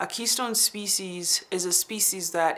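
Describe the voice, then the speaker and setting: A woman's medium-pitched, normal speaking voice at a fairly slow pace with fairly even intonation, on a very clean recording with a silent background. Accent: American. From Navajo Nation, US Southwest. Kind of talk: interview talk.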